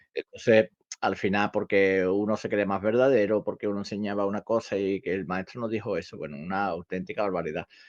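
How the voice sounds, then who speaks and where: Recorded dry and close with no echo over a quiet background, the speech moves at a fairly quick pace. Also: man, fairly low pitch for a man. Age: 60s. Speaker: karate teacher. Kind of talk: casual podcast discussion. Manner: halting, many repetitions.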